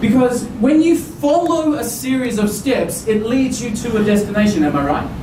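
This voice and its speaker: A man's extremely high-pitched, animated voice with lively intonation and hardly any pauses, amid audible room echo and noticeable background noise. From Australia. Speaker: business speaker. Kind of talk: conference presentation. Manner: fast.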